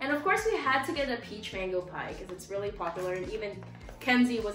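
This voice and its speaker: A woman talks at a very fast pace with ordinary pitch variation, with audible room echo and faint music in the background. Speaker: channel host. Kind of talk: casual vlog chat. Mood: cheerful, laughing. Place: home room. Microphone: camera far.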